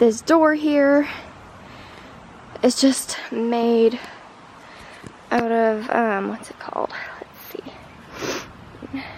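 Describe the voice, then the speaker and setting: Amid noticeable background noise, a woman talks at a very slow pace with long, frequent pauses, ordinary pitch variation and big swings in loudness. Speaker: backyard chicken keeper. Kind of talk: casual talk to camera. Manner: hesitant, casual.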